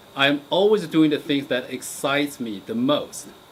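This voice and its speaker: This man has a Chinese accent and a fairly high pitch. He talks at a fairly slow pace with lively intonation. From China. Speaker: geology professor. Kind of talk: interview monologue. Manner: halting, many fillers.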